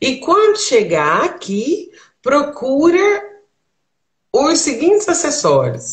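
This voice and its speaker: Audible room echo surrounds a woman's voice against a quiet background. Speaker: travel tips host. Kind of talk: casual conversation giving advice. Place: home room. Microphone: video call.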